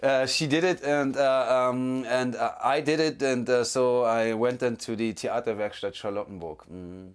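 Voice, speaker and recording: In a German accent, a man speaks at a moderate pace with ordinary pitch variation and hardly any pauses. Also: medium pitch for a man. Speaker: actor. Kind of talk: interview. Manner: halting.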